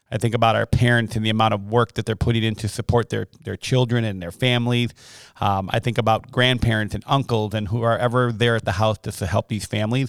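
Very fast, monotone, flat delivery from a man at medium pitch with an American accent, dry and close with no echo, on a very clean recording with a silent background. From Wisconsin (Milwaukee). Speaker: elementary school principal. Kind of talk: casual interview.

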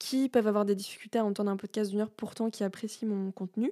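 A woman's medium-pitched voice, dark and mellow in tone, with monotone, flat intonation. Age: 30s. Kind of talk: solo monologue. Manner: hesitant, many fillers.

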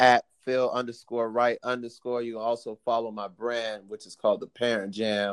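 A man with an American accent speaks at a fairly slow pace, his pitch medium. The sound is dry and close, with no echo. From Miami, Florida. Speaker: choreographer and dance teacher. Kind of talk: casual interview chat.

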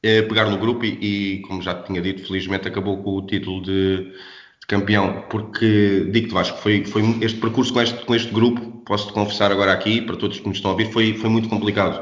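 A man's fairly low, monotone voice at a fairly quick pace, hardly any pauses, with audible room echo. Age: 30s. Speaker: basketball coach. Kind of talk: interview. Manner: halting.

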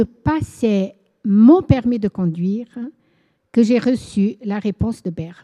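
Very slowly, a woman speaks in a dark, mellow tone, the sound dry and close with no echo and the background quiet. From Angola, Portuguese parents. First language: Portuguese (speaking French). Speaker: church worker and author. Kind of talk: testimony.

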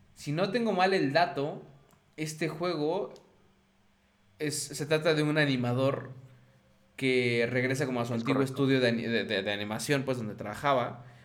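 A man speaks at a medium pitch with a Mexican accent, leaving long, frequent pauses. The room echo is audible. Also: ordinary pitch variation, moderate pace. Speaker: video game podcast host. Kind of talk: casual chat.

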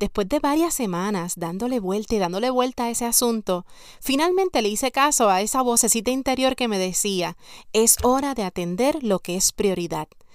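A woman uses a plain, everyday voice with fairly high pitch and lively intonation at a moderate pace. Her recording is very clean, with a silent background. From Puerto Rico, San Sebastián. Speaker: podcast host and life coach. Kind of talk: motivational podcast monologue.

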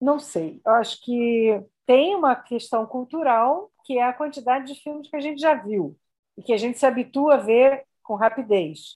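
In a normal speaking voice, the speaker uses lively intonation at a moderate pace. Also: woman. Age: 60s. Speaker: film editor and university professor. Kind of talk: interview.

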